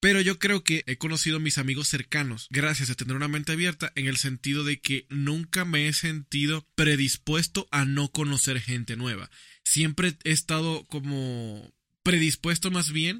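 An unremarkable speaking voice from a man, fairly high in pitch, at a moderate pace with ordinary pitch variation and hardly any pauses. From Dominican Republic. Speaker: podcast co-host and video editor. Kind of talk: casual chat.

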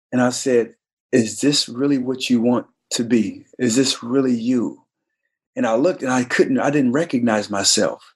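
Over a quiet background, an ordinary speaking voice goes at a moderate pace with fairly even intonation. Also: man, medium pitch for a man. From US, army brat (born Detroit, Michigan). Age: 40s. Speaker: former NFL player. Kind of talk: podcast interview.

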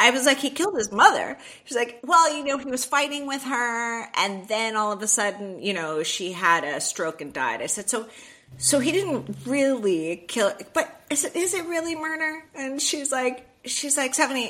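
A woman's high, bright, sharp voice with an American accent, raised and projected, animated, with very wide pitch swings. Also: moderate pace. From US South, Miami, Florida. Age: 50s. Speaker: author and TV producer. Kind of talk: interview.

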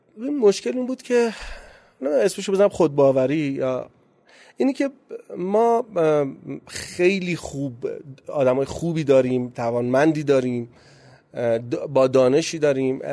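Pausing long and often, a man talks at a fairly slow pace with a dark, mellow tone, a fairly high pitch and very wide pitch swings. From Iran, Gachsaran (Kohgiluyeh and Boyer-Ahmad). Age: 30s. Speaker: startup founder. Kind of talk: interview.

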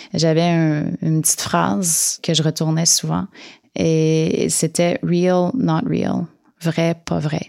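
Her pitch moves in very wide swings. The woman talks at a very slow pace. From Quebec, Outaouais (Namur). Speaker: visual artist. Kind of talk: interview. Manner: halting, many hesitations and repetitions.

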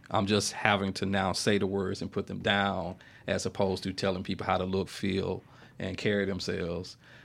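On a very clean recording with a silent background, a man with a Mississippi accent speaks at a very deep, low pitch. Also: moderate pace. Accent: US Southern, Mississippi. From Mississippi, Yazoo City. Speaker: writer and filmmaker. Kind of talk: interview, casual chat. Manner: animated storytelling.

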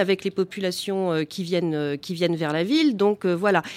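A woman speaks at a moderate pace in an ordinary speaking voice. Her pitch sits in the medium range. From Val d'Oise, France. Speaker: gardening business founder. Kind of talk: live radio panel discussion. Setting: live broadcast at public event.

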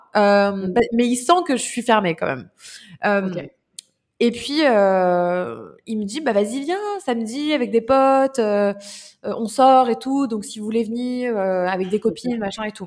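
The woman's voice sits fairly high, with ordinary variation in pitch. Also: fairly slow pace, very clean recording, silent background. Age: 20s. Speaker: entrepreneur and speaker. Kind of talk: casual interview.

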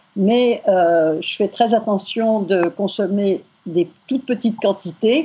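Ordinary pitch variation from a woman speaking at a medium pitch. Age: 70s. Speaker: retiree. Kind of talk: interview testimony. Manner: halting.

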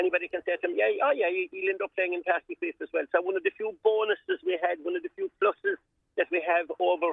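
A man with a Cork accent speaks at a very fast pace. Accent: Cork Irish. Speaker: volunteer sports steward. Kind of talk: radio interview. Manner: animated.

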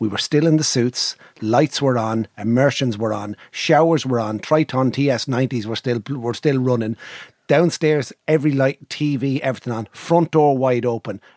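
A man in an Irish accent at a moderate pace, with a dry, close sound and no echo. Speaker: podcast co-host. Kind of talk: casual banter podcast chat.

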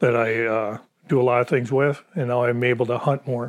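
The speaker has an Upper Peninsula Michigan accent and keeps a moderate pace. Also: man. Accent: Upper Peninsula Michigan (Yooper). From Michigan Upper Peninsula (Gladstone). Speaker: retired veteran and hunter. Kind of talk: interview storytelling.

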